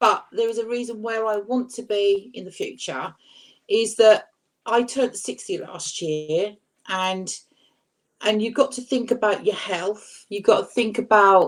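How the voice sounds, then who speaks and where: An ordinary speaking voice moves at a fairly slow pace with big swings in loudness. Its pitch varies in an ordinary way. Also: woman, fairly high pitch for a woman. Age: 60s. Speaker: YouTuber panel guest. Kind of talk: casual chat.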